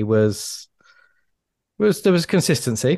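A man speaks at a moderate pace with a southern English accent against a quiet background. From England. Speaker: public speaking coach. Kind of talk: casual chat.

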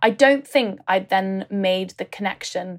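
A woman's unremarkable speaking voice at medium pitch and a fairly slow pace. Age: 20s. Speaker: writer and podcast host. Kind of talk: casual interview.

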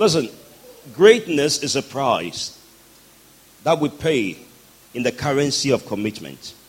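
A man speaks at a fairly slow pace with long, frequent pauses and a fairly high pitch. His tone is animated, with very wide pitch swings, over noticeable background noise. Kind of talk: sermon, preacher in full flow leading prayer and call-and-response with congregation. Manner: animated, fervent, exhorting the crowd with rousing commands; rhythmic and emphatic, pausing for crowd responses.

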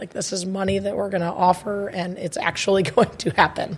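At a moderate pace, the speaker talks with flat, monotone intonation over noticeable background noise. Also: woman. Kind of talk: casual chat. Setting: studio.

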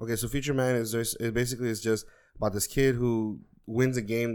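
A man has an ordinary speaking voice. His intonation stays fairly even. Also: very clean recording, silent background. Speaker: podcast co-host. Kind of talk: casual chat.

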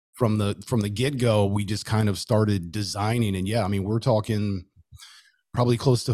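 A dark, mellow tone with an American accent and fairly even intonation, on a very clean recording with a silent background. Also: man. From Southern California (Los Angeles area). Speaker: podcaster, tattooed chef. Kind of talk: casual chat.

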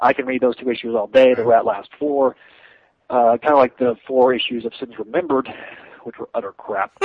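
In an American accent, a man talks at a fairly quick pace and medium pitch in a plain, everyday voice. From Texas. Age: 20s. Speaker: podcast panelist, fan site runner. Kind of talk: casual panel chat.

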